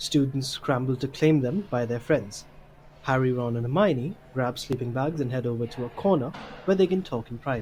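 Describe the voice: Speaking at a moderate pace, a man uses a medium pitch, ordinary pitch variation and a slightly mellow tone.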